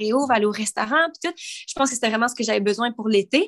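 With a Quebec accent, a woman talks at a fairly quick pace. Her pitch is fairly high. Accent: Québécois French. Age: 20s. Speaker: podcast co-host and YouTuber. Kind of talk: casual chat.

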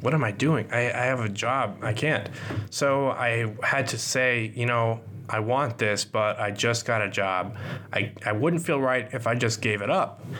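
Over noticeable background noise, a man speaks fairly slowly at a medium pitch with ordinary pitch variation. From US Midwest, partly Kansas City. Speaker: podcast host, graphic designer. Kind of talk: solo podcast monologue. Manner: casual, joking.

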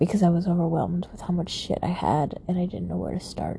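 A woman mumbling, with noticeable background noise. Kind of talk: late-night personal monologue. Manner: frequent sighs.

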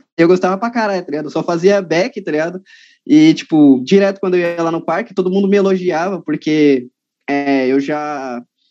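A man's high voice with ordinary pitch variation, at a moderate pace, over background music. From São Paulo city, Brazil. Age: 20s. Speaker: calisthenics athlete. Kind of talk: casual chat.

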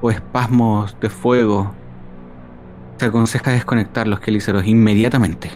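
Music plays in the background. The speaker's intonation stays fairly even. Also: man. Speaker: player voicing a ship doctor character. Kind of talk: role-playing in character, descriptive narration. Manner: formal, wordy, theatrical, with hesitations.

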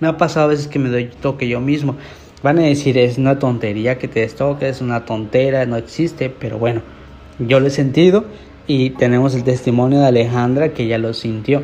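Noticeable background noise sits behind a man's voice. He has a medium pitch and fairly even intonation. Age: 20s. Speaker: podcast host. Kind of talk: casual monologue. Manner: hesitant.

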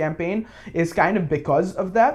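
At a moderate pace, a man with a Bengali accent speaks in a high pitch with ordinary variation, set against a quiet background. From Bangladesh. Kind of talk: casual political discussion. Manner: halting, many fillers.

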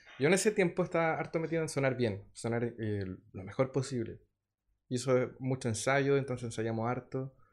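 Against a quiet background, a man with a normal speaking voice talks at a moderate pace, using lively intonation at a medium pitch. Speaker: musician. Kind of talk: interview. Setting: studio.

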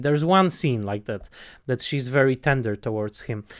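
This is a man talking. He speaks with a Polish accent. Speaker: film critic podcast host. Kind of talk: casual film discussion. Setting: online call. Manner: halting with many fillers.

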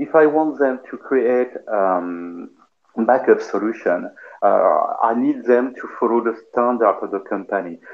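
A man at a fairly slow pace, medium in pitch, with ordinary pitch variation. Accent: French. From France, Paris. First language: French. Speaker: cloud infrastructure engineer. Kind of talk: casual tech discussion.

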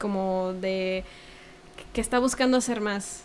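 A woman's fairly even intonation in a Mexican accent. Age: 20s. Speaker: cultural producer and former cellist. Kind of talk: casual interview.

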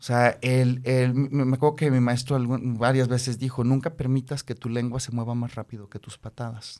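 A man talks at a moderate pace in a medium pitch, with monotone, flat intonation. His tone is dark and mellow, and his loudness swings widely. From Mexico City. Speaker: karate practitioner and business consultant. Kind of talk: interview.

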